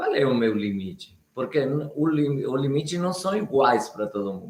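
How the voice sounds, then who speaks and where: With a normal speaking voice, a man talks fairly slowly at a fairly high pitch, his intonation lively. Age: 60s. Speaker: Biodanza facilitator and live show co-host. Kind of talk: live stream talk.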